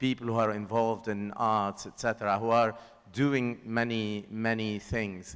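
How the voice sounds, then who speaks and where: The speaker has a Lebanese accent. The pace is fairly slow. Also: man. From Lebanon. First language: Lebanese Arabic. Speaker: filmmaker. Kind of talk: panel discussion.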